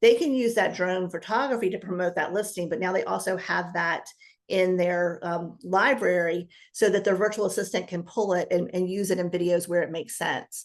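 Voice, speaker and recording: A woman is talking at a medium pitch. Her intonation stays fairly even. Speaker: business coach. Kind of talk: interview. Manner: fast.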